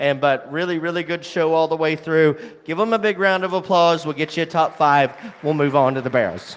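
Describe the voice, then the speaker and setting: A man talks fairly quickly in a fairly high pitch while noticeable background noise runs behind him. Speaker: livestock show judge. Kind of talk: judge's reasons to show audience. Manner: fast.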